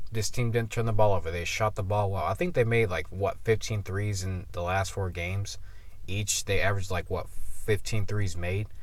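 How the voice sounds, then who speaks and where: A somewhat breathy man with a fairly low pitch and fairly even intonation, amid audible room echo. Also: moderate pace. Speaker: sports commentator. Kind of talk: casual video commentary. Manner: halting with stutters.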